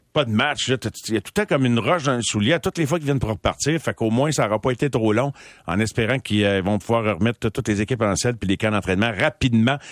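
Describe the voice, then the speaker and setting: At a very fast pace, a man speaks at a medium pitch with ordinary pitch variation. The recording is very clean with a silent background, the sound dry and close with no echo. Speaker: sports radio host. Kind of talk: casual chat. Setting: studio.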